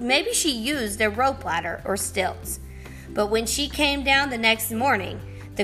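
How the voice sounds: A natural reading voice. The intonation is lively.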